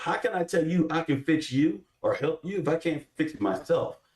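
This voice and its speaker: This man's fairly high, somewhat breathy voice moves with lively intonation at a moderate pace. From Texas, Houston. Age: 30s. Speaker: army veteran and political candidate. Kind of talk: panel interview on live show. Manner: animated.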